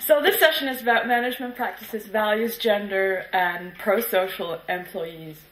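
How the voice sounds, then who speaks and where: A woman talks at a moderate pace with lively intonation while noticeable background noise plays behind her. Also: fairly high pitch for a woman, hardly any pauses. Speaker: session moderator, PhD student. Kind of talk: session moderation. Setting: conference room with audience.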